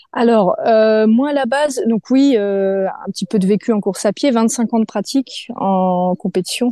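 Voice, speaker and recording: Against a quiet background, a woman speaks at a fairly slow pace in a fairly high, dark, mellow voice. The sound is dry and close, with no echo. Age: 30s. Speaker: sophrologist and amateur athlete. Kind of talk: interview. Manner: casual, hesitant with fillers.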